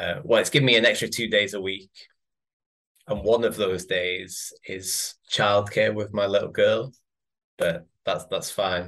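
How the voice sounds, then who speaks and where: Speaking fairly slowly, a man talks with an English accent. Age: 30s. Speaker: physiotherapist and father. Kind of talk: casual chat. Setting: video call.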